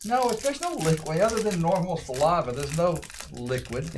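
The speaker moves along at a fairly quick pace with very wide pitch swings. Background noise is noticeable. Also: man, high pitch for a man. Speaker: card break co-host. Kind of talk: live stream commentary. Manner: runs words together. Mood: casual, relaxed. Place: studio.

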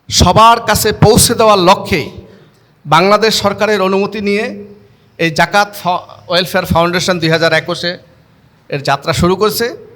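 Fairly level intonation in a man's high voice. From Bangladesh, Chandpur. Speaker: charity branch head. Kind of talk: public speech.

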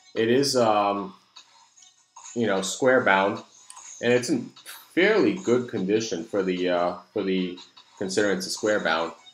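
A man talks at a fairly low pitch and a fairly slow pace, with ordinary pitch variation. Faint music plays in the background, and there is audible room echo.

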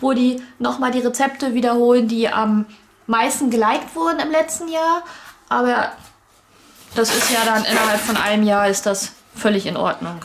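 With light background noise, a woman talks at a moderate pace with ordinary pitch variation and long, frequent pauses. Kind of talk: casual unboxing explanation.

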